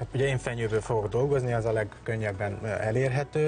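Clear music plays in the background. The speech moves at a moderate pace with fairly even intonation. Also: man. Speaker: guest. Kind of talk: interview answer. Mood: calm, explanatory. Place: studio. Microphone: lapel.

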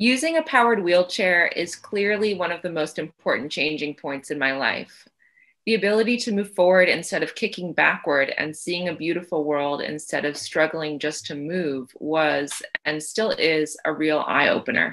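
A woman with an unremarkable speaking voice talks at a moderate pace and a fairly low pitch, with ordinary pitch variation, against a quiet background. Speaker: interviewee. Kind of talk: interview answer. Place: home room. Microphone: video call.

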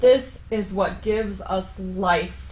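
Here a woman's voice has vocal fry and fairly even intonation. Audible room echo fills the recording. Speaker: yoga teacher. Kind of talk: guided yoga instruction. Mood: calm, encouraging. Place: home room.

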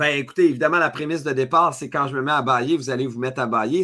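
The voice has a bright, sharp tone, an energetic tone and a Quebec accent. Pitch variation is ordinary, and the background is quiet. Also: man. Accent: Québécois French. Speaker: leadership speaker and author; speaker. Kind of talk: webinar masterclass. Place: home room.

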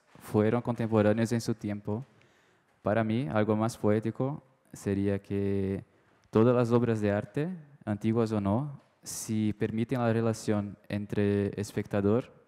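Speaking in a Brazilian accent, a man uses a fairly low pitch and a dark, mellow tone at a fairly slow pace. His intonation stays fairly even over a quiet background. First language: Portuguese (speaking Spanish). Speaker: art dealer, audience member; audience member. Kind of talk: audience question at a panel talk. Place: hall. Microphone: handheld.

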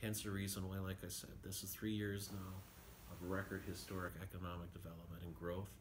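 Against noticeable background noise, a man with a very deep, low pitch talks at a fairly quick pace in a monotone, flat intonation. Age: 50s. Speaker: city mayor. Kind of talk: radio interview. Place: office. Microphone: phone near.

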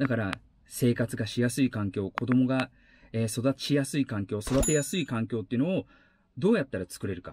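Over light background noise, a man talks at a fairly quick pace in a somewhat breathy voice with ordinary pitch variation, the sound dry with no echo. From Aichi, Japan. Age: 40s. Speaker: YouTuber and former actor; travel vlogger. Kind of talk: vlog monologue; casual vlog monologue on social issues. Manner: hesitant with many fillers. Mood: earnest, thoughtful. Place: car.

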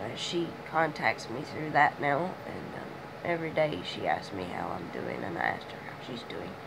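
A woman speaks at a moderate pace with big swings in loudness, audible room echo and noticeable background noise. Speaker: vlogger. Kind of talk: personal video diary.

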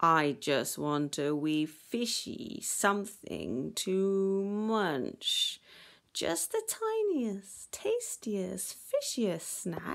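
Vocal fry runs through a put-on character voice with big pitch swings. Delivery is very slow. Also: woman, medium pitch for a woman.

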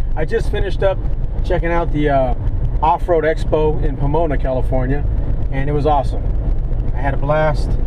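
A man at a fairly quick pace, dry with no echo, amid noticeable background noise. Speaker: vlogger. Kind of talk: casual vlog chat. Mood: upbeat, pleased. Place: car. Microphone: phone near.

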